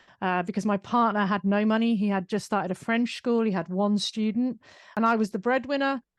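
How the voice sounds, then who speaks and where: A woman with a British accent talks fairly quickly at a fairly high pitch, with fairly even intonation and very even loudness. The sound is dry and close with no echo, over a quiet background. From UK. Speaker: business owner and author. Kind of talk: interview conversation.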